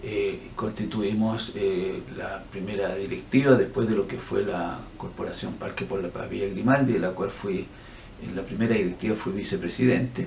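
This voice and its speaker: Audible room echo and noticeable background noise accompany a man speaking at a moderate pace, with fairly low pitch and ordinary pitch variation. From Chile. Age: 60s. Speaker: physician and human rights activist. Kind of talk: interview.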